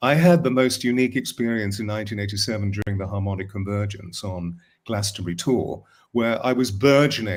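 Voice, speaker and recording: A man with an English accent talks in a fairly low pitch. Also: very clean recording, silent background. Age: 70s. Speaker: voice coach and spiritual author. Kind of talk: casual chat.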